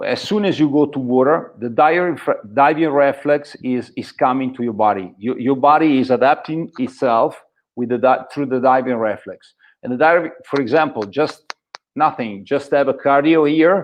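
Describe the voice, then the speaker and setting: A fairly high-pitched man's voice with an Italian accent and ordinary pitch variation. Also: moderate pace. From northern Italy, Varese province. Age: 50s. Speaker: free diver. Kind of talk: interview. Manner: halting.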